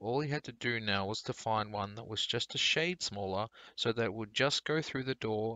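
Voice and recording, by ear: The text is read aloud naturally, and the pitch rises and falls in an ordinary way.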